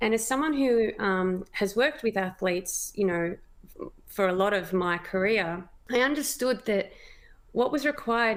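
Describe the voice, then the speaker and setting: A woman talks with an Australian accent at a moderate pace. Her pitch sits in the medium range. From Australia, Melbourne. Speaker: cancer patient, mother. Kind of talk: interview testimony.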